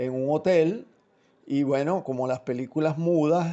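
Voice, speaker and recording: A man talks at a fairly slow pace, his pitch fairly high and his intonation fairly even. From childhood in Italy and Switzerland, Venezuelan from adolescence. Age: 60s. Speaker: film director. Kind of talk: interview. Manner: halting, many fillers and repetitions.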